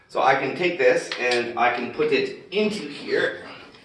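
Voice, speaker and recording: A man's fairly slow speech amid noticeable background noise and audible room echo. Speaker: expat vlogger. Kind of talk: casual vlog tutorial. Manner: casual with many fillers.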